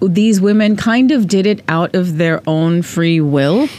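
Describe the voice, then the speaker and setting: Noticeable background noise fills the clip. A woman talks through it. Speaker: podcast co-host. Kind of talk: casual podcast chat.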